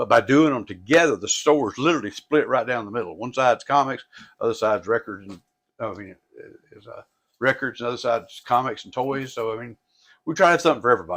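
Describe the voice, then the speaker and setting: With a Tennessee accent, a man speaks at a very fast pace and medium pitch. His pitch variation is ordinary, and his loudness swings widely. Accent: Southern US (Tennessee). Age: 60s. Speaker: record and comic store owner. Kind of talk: casual interview chat. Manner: halting, repetitive.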